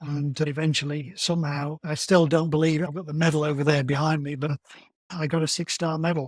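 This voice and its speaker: A man with a British accent speaks fairly quickly at a fairly high pitch, somewhat breathy, in a monotone, flat intonation. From England. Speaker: amateur marathon runner. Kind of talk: podcast interview.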